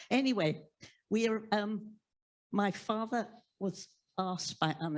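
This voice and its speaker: A woman with an English accent speaks with lively intonation in a very clean recording with a silent background. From England. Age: 80s+. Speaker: audience member. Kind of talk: audience question at book talk. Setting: library event with live audience. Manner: halting.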